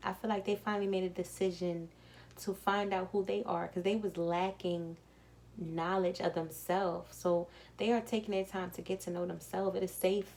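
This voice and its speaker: Her pitch fairly low, a woman talks at a moderate pace in a monotone, flat intonation. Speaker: tarot card reader. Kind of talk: tarot reading. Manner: soft-spoken; calm.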